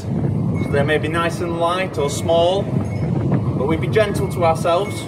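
A man's voice over loud background noise. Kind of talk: tutorial. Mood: calm, gentle, encouraging. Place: garden. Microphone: camera far.

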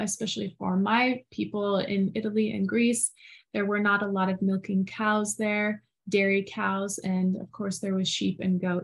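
Against a quiet background, a somewhat breathy woman talks at a moderate pace with monotone, flat intonation. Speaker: podcast co-host. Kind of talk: casual conversation. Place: home room. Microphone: video call.

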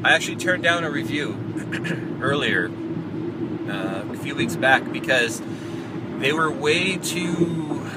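Loud background noise runs beneath a man who speaks at a fairly slow pace with long, frequent pauses, in a dry sound with no echo. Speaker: vlogger. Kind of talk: casual vlog chat. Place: car. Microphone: phone near.

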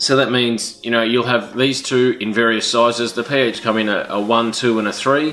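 There is faint music in the background behind this man's voice. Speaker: tool show host. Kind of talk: tutorial. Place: garage.

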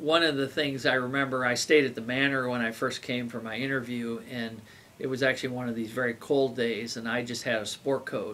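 A man's monotone, flat delivery at a moderate pace, with light background noise. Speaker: chemistry professor. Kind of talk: interview answer. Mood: calm, reflective. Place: office. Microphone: camera far.

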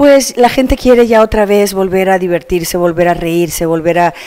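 An ordinary speaking voice moves at a fairly quick pace over a quiet background. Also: woman. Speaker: actress after a show. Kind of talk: interview answer. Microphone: handheld.

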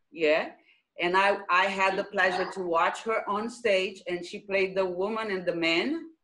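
Speaking at a fairly slow pace with a Brazilian accent, a woman has a bright, sharp tone and ordinary pitch variation against a quiet background. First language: Portuguese. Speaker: theatre director and choreographer. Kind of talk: casual chat. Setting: video call. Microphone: video call.

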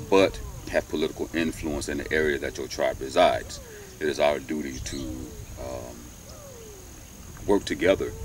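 A man talks at a moderate pace with long, frequent pauses. The sound is dry with no echo, over light background noise. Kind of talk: commentary monologue. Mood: calm, earnest. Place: open country.

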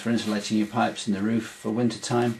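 Against light background noise, a man rushes along at a very fast pace in a monotone, flat delivery. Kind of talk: tutorial. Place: home room.

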